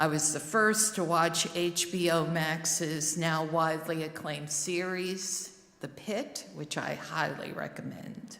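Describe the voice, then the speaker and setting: A woman speaks very slowly at a fairly low pitch, with hardly any pauses. Her pitch varies in an ordinary way over noticeable background noise. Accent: New Jersey. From New Jersey, Newark. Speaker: lay worship service leader. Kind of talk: sermon.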